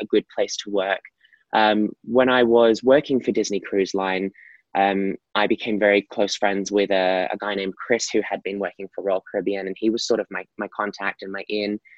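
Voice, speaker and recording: Here a man talks with an Australian accent at a fairly low pitch. His pace is moderate. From Australia, Gold Coast. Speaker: professional dancer and performer. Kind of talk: interview.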